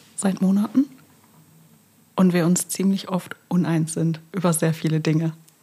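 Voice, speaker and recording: A woman talks at a fairly slow pace in a fairly low, dark, mellow, somewhat breathy voice with ordinary pitch variation. Her loudness stays very even, broken by long, frequent pauses. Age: 30s. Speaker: podcast co-host. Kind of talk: casual chat.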